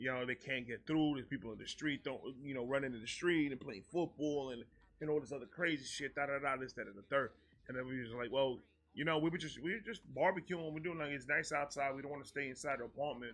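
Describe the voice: The speech moves at a fast pace. Pitch varies in an ordinary way. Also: man, medium pitch for a man, fairly bright tone.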